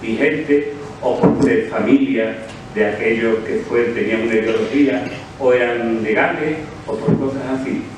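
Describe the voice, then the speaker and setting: Audible room echo and noticeable background noise, with ordinary pitch variation. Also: man. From Andalusia, Cádiz province (El Puerto de Santa María). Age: 60s. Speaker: short story award winner, author. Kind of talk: award acceptance speech.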